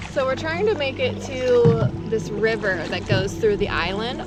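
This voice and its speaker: A woman speaks with audible room echo. Music plays in the background. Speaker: travel vlogger. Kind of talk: travel vlog narration. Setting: outdoors.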